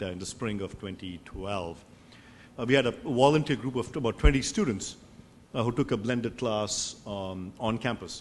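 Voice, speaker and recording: This man's fairly low voice shows ordinary pitch variation. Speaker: professor. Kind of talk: panel discussion. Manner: fast; halting, many fillers.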